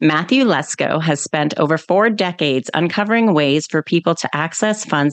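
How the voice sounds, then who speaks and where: A woman's fairly low voice with a slight Canadian accent and lively intonation, at a moderate pace, in a dry, close sound with no echo. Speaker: podcast host. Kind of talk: interview. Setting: podcast.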